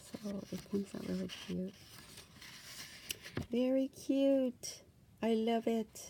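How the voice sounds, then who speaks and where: A soft-spoken woman talks at a very slow pace with long, frequent pauses. Her intonation stays fairly even. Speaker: crafting YouTuber. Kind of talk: casual craft show-and-tell. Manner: hesitant, many fillers.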